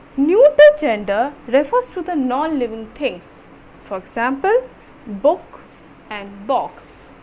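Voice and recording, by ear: A woman's high-pitched voice at a slow pace, with big pitch swings and a slightly mellow tone.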